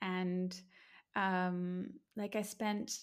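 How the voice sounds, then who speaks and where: Speaking with an Australian accent, a woman holds a medium pitch in a monotone, flat intonation. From Brisbane, Australia. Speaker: empowerment coach and personal trainer. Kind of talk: casual interview chat.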